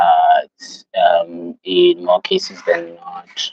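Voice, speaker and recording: A man with a South African accent is heard in a dry, close sound with no echo. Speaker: livestreamer. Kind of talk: casual live stream chat. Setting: live stream. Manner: casual, many fillers.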